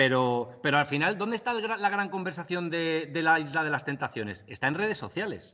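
With an ordinary speaking voice, a man talks at a fairly quick pace in a fairly high pitch, his intonation lively. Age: 30s. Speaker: digital media and eSports expert. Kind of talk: interview.

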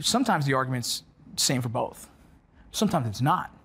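In an American accent, the speaker's voice comes out somewhat breathy. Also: man. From Los Angeles, US. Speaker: military veteran and former border patrol agent. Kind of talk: interview conversation. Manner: casual, repetitive.

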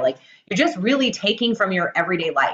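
A woman talking at a very fast pace. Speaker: radio host. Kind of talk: casual interview chat. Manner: fast talker, excitable.

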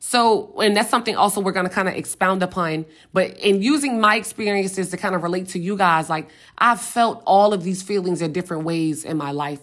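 A woman with an American accent talks at a fairly quick pace in a medium pitch. Hers is a plain, everyday voice. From US South, Richmond, Virginia. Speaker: podcast host. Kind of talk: casual solo podcast talk.

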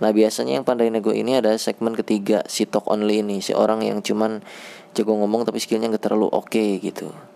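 The man's intonation is fairly even. He talks very fast. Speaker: podcast host, programmer. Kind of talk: casual monologue. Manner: halting, many fillers.

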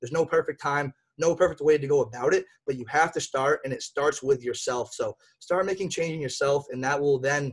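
A man talks at a very fast pace with an American accent and a fairly high pitch. His intonation is fairly even, and his voice is somewhat breathy. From Massachusetts, US. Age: 20s. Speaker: podcast host. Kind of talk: casual chat. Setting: video call.

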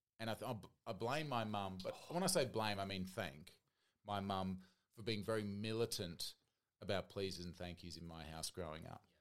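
A man with an Australian accent speaks at a moderate pace in a fairly low voice. His loudness swings widely. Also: ordinary pitch variation. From Australian Capital Territory. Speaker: guest podcaster. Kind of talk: casual chat.

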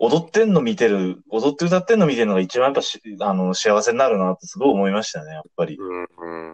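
Lively intonation runs through an ordinary speaking voice. The pace is fairly quick. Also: man. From Tokyo. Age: 30s. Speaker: idol fan podcaster. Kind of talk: casual chat.

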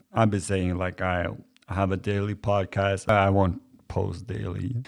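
This man's voice sits at a fairly low pitch. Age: 40s. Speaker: podcast host. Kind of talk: casual chat. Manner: halting.

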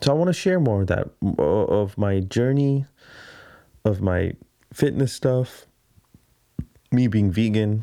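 A man speaks at a very slow pace, with long, frequent pauses. His fairly low voice has a dark, mellow tone and very even loudness. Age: 30s. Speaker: podcast host and videographer. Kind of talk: solo casual monologue. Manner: rambling, halting.

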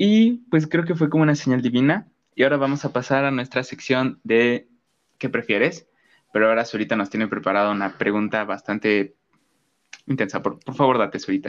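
An unremarkable speaking voice from a man, medium in pitch, with lively intonation and a fairly quick pace. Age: young. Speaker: podcast host. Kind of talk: casual chat.

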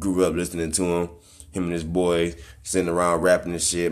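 In a room with audible echo, a man talks at a moderate pace in a very deep, low pitch. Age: 20s. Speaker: hip hop podcaster and rapper. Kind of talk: casual solo commentary. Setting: home. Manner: animated.

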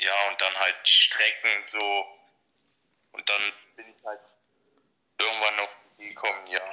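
A man's fairly slow speech with long, frequent pauses and big swings in loudness. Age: 20s. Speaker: train enthusiast. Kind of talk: casual interview. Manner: halting, many fillers.

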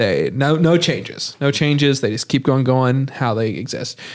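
With a plain, everyday voice, a man talks at a moderate pace and medium pitch. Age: young. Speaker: podcast host. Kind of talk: casual chat.

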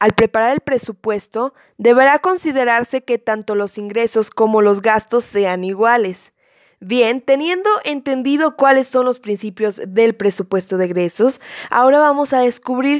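Recorded very cleanly against a silent background, an ordinary speaking voice moves at a fairly slow pace with lively intonation in a dry, close sound with no echo. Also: woman. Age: 20s. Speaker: law student. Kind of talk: educational explainer.

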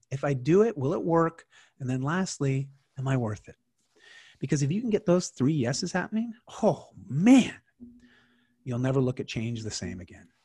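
A man speaks with a fairly high pitch, very wide pitch swings and a dark, mellow tone that is somewhat breathy. His pace is moderate, broken by long, frequent pauses. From Canada. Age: 40s. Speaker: lifestyle coach and keynote speaker. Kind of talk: casual interview. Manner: halting, many repeated words.

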